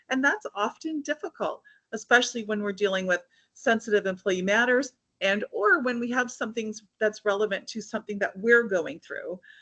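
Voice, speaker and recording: The tone is energetic, bright and sharp. Pitch variation is ordinary. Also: woman, fairly high pitch for a woman. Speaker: HR consultant speaker. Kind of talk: webinar presentation. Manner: fast.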